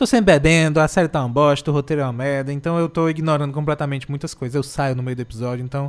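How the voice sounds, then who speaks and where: This man speaks at a very fast pace. His pitch is fairly high. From Brazil, Ceará (Morada Nova). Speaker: radio host. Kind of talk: casual chat. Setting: radio studio.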